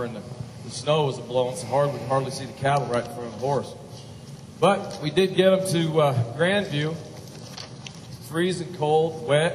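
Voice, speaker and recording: Against noticeable background noise, a man with a fairly high voice speaks at a moderate pace, with ordinary pitch variation, big swings in loudness, and long, frequent pauses. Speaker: cowboy poet. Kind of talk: humorous cowboy storytelling.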